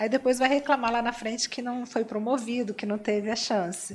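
A woman's high-pitched speech moves at a moderate pace, its intonation fairly even. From Espírito Santo, Brazil (Cachoeiro de Itapemirim). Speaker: business coach and entrepreneur. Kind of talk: interview. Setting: live stream.

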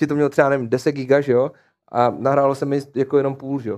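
A man talks at a very fast pace. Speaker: esports streaming agency founder. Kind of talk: casual chat. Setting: studio.

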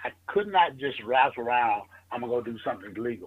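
A man with a Southern US accent and lively intonation. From US South, northern Mississippi. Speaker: financial marketing entrepreneur. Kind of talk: interview.

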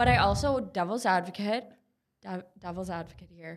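Speaking in an Upper Midwest accent, a woman uses a medium pitch. Her pitch variation is ordinary. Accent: Upper Midwest American. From Minnesota, Minneapolis suburbs. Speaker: therapist and clothing brand co-founder. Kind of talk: casual chat.

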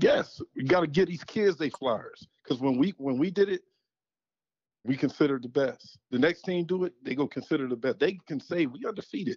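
A man with a plain, everyday voice and an American accent talks at a fairly high pitch with lively intonation. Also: moderate pace. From Western Pennsylvania, Aliquippa. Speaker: former high school football player. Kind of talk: casual chat. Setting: phone call.

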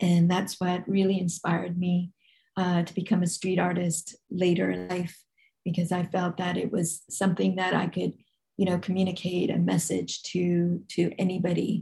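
A woman with a Californian accent and a fairly low pitch speaks at a moderate pace in a somewhat breathy, dark, mellow tone with monotone, flat intonation. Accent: American (Californian). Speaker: street artist and shop co-founder. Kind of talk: interview conversation. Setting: remote call.

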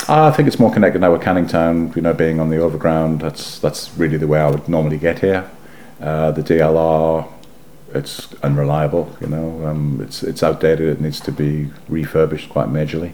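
A man with a very deep, low pitch speaks in a flat monotone at a moderate pace over noticeable background noise. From northeast England, South Shields. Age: 50s. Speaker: former photographer, local historian. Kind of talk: oral history interview.

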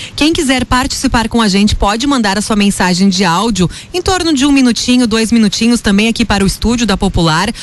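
Over noticeable background noise, a woman with a fairly high pitch talks at a fairly quick pace with hardly any pauses and very even loudness. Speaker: radio host. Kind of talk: live radio show. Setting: radio studio.

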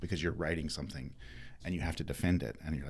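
A man's very deep, low voice with vocal fry and an American accent, showing ordinary pitch variation. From North Carolina. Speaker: former game show champion and alumnus. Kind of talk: interview.

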